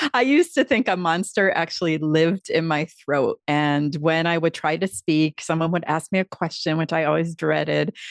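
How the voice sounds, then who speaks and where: An ordinary speaking voice with an American accent comes at a moderate pace with ordinary pitch variation. The sound is dry and close with no echo, over a quiet background. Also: woman. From Upstate New York. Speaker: public speaking coach. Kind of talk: interview. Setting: video call.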